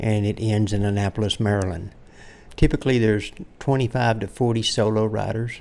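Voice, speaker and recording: This man has an unremarkable speaking voice, a fairly low pitch and fairly even intonation, and he talks at a fairly quick pace. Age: 60s. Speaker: endurance cyclist. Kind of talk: interview.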